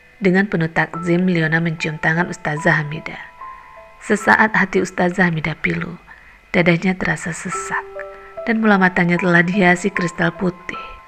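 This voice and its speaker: Music runs in the background. The voice keeps a moderate pace with fairly even intonation. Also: woman, fairly low pitch for a woman. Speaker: voice actor. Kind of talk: audiobook novel reading.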